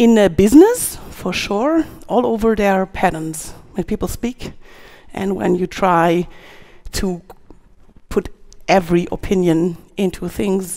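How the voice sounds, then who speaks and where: A woman speaks at a fairly slow pace, with long, frequent pauses. The background is quiet. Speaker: conference speaker. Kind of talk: conference talk. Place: stage. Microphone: headset.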